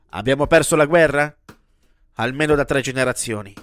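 The talking goes at a fairly quick pace. Behind it, music plays in the background. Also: man. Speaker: podcast columnist. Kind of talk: angry rant. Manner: sarcastic, irreverent, foul-mouthed.

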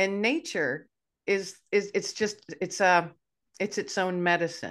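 A woman talks at a fairly slow pace over a quiet background. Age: 50s. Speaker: podcast host. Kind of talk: casual interview chat. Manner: animated.

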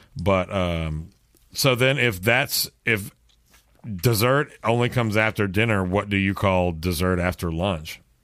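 An unremarkable speaking voice from a man with an American accent, fairly low in pitch, comes at a fairly slow pace with ordinary pitch variation and very even loudness on a very clean recording with a silent background. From Texas. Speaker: podcast host, musician. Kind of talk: casual chat.

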